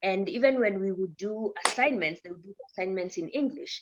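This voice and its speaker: A voice with an East African accent speaks at a moderate pace, with ordinary pitch variation. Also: woman. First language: Swahili. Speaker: news presenter. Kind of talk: podcast interview.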